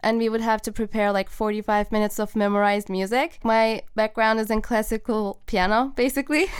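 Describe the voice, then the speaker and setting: A fairly high-pitched woman at a moderate pace, with fairly even intonation. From Turkey. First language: Turkish. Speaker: film composer. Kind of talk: podcast interview.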